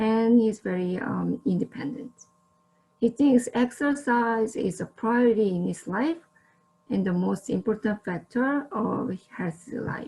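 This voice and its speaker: A woman with a Korean accent speaks at a fairly slow pace, her fairly high voice rising and falling in an ordinary way. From South Korea. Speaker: social service student, guest presenter. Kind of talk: presentation. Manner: slightly halting with fillers.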